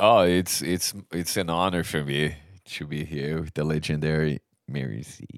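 A man with a Portuguese accent speaks in a very deep, low pitch. His pace is moderate and his intonation fairly even. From Brazil. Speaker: metal vocalist. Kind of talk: casual interview.

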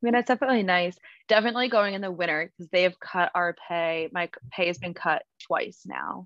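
An unremarkable speaking voice from a woman with an American accent, medium in pitch, fairly quick, with ordinary pitch variation and big swings in loudness. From New Jersey. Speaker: travel nurse, cancer survivor. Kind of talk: casual interview, personal story.

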